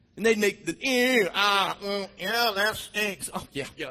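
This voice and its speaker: The speaker is a man with a high pitch. He is loud. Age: 50s. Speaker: pastor. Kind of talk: sermon. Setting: church. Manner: animated.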